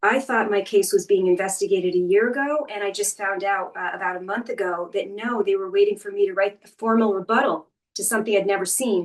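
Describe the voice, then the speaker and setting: At a very fast pace with hardly any pauses, a woman speaks in a medium pitch with fairly even intonation. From Maine. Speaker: teacher sharing lived experience. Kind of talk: testimony.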